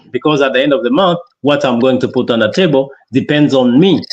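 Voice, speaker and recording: A man at a very fast pace. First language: French (also an African dialect). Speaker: entrepreneur. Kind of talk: interview testimony. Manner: halting, many false starts.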